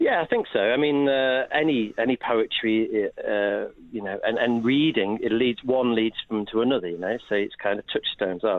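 A man at medium pitch and moderate pace, ordinary pitch variation and hardly any pauses, a plain, everyday voice. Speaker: literacy education expert. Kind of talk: radio interview.

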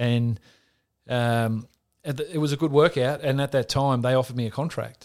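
Here a man with an Australian accent speaks at a medium pitch and a moderate pace, with fairly even intonation. The recording is very clean with a silent background. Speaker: former Australian rules footballer turned NFL punter. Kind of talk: interview, casual sports chat.

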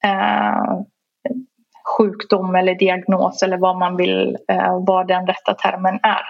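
A woman speaks at a very slow pace, her loudness staying very even throughout. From Sweden, moved from Iran at seven. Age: 30s. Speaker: fashion industry worker. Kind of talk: interview. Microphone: poor remote audio.

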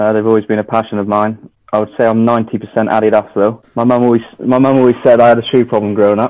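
In a West Country accent, a man rattles along at a very fast pace with monotone, flat intonation. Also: medium pitch for a man. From Devon, England. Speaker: trainer customiser, former electrician. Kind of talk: casual interview.

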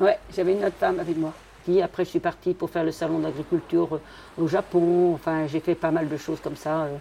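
At a fairly quick pace, a woman speaks in a dark, mellow tone at a fairly low pitch. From Brittany. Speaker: fisherwoman. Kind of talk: interview.

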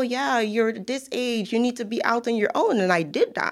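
A woman with a Guyanese accent speaks at a fairly high pitch with ordinary pitch variation. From Guyana. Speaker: financial professional. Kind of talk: interview. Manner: laughs often.

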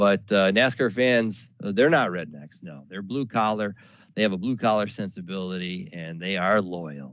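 With an American accent and an ordinary speaking voice, a man talks at a moderate pace and fairly low pitch, his intonation lively and his loudness swinging widely. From US South. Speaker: radio sales manager. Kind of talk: webinar presentation. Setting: webinar recording. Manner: casual with filler words.

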